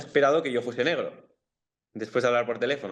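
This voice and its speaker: Talking at a very fast pace with a strong Bilbao accent, a man keeps a medium pitch and ordinary pitch variation. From Bilbao, Basque Country, Spain. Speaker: footballer. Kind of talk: interview.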